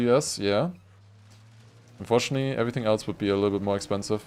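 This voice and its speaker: A man with a fairly low voice and a German accent. He talks at a very fast pace. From Germany. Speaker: gaming streamer. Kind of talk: casual live-stream commentary.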